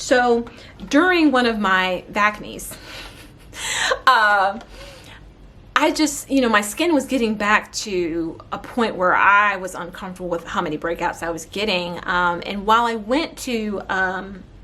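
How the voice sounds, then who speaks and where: A woman's animated, medium-pitched voice at a fairly slow pace, with lively intonation and noticeable background noise. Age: 30s. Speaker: beauty and wellness vlogger. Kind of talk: casual vlog talk.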